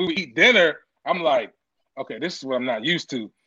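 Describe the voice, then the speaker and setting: Projecting a raised voice, a man with an American accent talks fairly quickly in a bright, sharp tone with very wide pitch swings. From Washington DC area. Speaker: chef. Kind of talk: casual chat.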